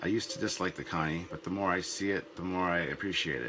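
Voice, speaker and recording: A man talks at a fairly quick pace with a very deep, low pitch. Background noise is noticeable behind him. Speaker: web series host. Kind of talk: casual talk to camera.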